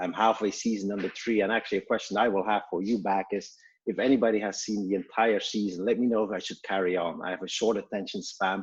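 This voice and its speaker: A man with a Belgian accent and fairly low pitch talks at a very fast pace with hardly any pauses. His intonation is monotone and flat. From Belgium. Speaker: startup co-founder and CEO. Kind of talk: webinar self-introduction. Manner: halting, many fillers.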